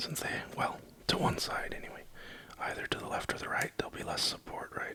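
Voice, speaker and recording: Over noticeable background noise, a man whispers at a moderate pace. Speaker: keyboard hobbyist streamer. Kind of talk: live-stream build tutorial. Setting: at home at night, live stream. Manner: quiet, near-whispered.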